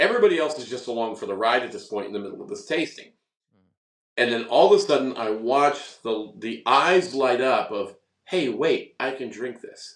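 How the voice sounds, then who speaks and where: A man speaks in an animated tone at a moderate pace, his loudness swinging widely. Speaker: bourbon tour guide and content creator. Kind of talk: casual podcast interview.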